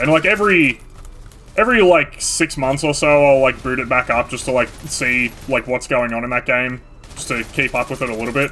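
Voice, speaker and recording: Over noticeable background noise, a man talks at a fairly quick pace. His medium pitch shows ordinary variation. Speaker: gaming youtuber. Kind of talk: gameplay commentary. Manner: halting; casual.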